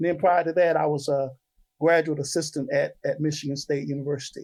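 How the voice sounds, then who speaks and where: A man talks very quickly, his fairly high voice held to a fairly even intonation. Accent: Southern US. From Eastern North Carolina (Goldsboro). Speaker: music professor and band director. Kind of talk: interview. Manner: many fillers (um, uh).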